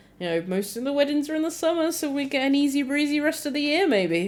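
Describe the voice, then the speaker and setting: A woman speaks with a British accent. Her pitch swings very widely. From Britain. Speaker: talk show co-host. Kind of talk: casual chat. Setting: live stream.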